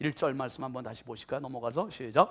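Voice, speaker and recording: A man's unremarkable speaking voice at a fairly quick pace with ordinary pitch variation. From Korea, Chungcheong region. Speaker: pastor. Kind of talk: sermon. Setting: church.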